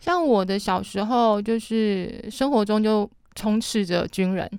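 A woman with an unremarkable speaking voice, medium pitch and ordinary pitch variation. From Matsu Islands, Taiwan. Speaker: café owner and local culture worker. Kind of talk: casual chat.

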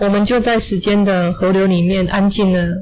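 Audible room echo surrounds a woman of medium pitch as she talks at a moderate pace. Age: 40s. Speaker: English teacher. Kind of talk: interview storytelling.

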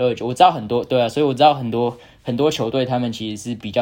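Here a man has an ordinary speaking voice at medium pitch, with ordinary pitch variation. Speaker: college tennis player. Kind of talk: casual chat.

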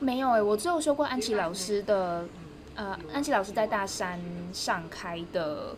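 A woman with a medium pitch and lively intonation talks at a moderate pace in a normal speaking voice. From Taiwan, Taichung. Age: 20s. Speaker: graduate student and language teacher. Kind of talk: casual interview. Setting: outdoors.

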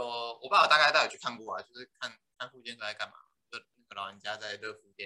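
A man at medium pitch, very fast, with a bright, sharp tone, ordinary pitch variation and big swings in loudness. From Tainan, Taiwan. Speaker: physical therapist. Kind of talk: casual interview.

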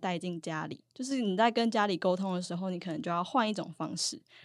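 At a fairly quick pace, an unremarkable speaking voice carries ordinary pitch variation on a very clean recording with a silent background. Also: woman. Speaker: university student, student union officer. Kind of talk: casual interview.

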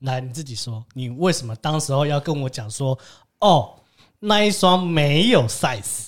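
In an ordinary speaking voice, a man with a fairly high pitch talks at a fairly slow pace, his intonation lively and his loudness swinging widely. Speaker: podcast host. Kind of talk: casual chat.

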